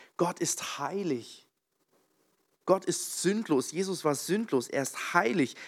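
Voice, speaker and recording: With a warm tone and lively intonation, a man with a high pitch speaks very slowly with long, frequent pauses, on a very clean recording with a silent background. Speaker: preacher. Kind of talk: sermon in a church, opening with prayer and then teaching on Bible stories. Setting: church with congregation. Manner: conversational and slightly halting, with fillers and self-corrections.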